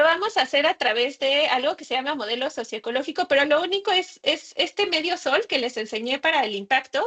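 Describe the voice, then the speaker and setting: Bright, sharp tone with very wide pitch swings and hardly any pauses. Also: woman. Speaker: workshop facilitator. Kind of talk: workshop presentation.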